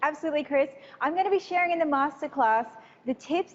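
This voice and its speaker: Ordinary pitch variation from a woman with an Australian accent. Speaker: business trainer. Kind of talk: live interview. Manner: animated.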